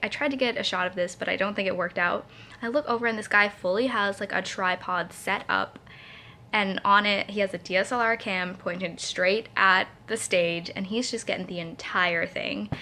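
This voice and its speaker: The woman's voice sits at a medium pitch with a bright, sharp tone. Her intonation stays fairly even. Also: moderate pace. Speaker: vlogger. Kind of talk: casual vlog talk. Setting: at home at night. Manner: rambling, filler-heavy.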